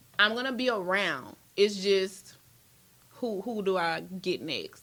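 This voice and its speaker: A woman speaks with an American accent. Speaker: battle rapper. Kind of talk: casual chat.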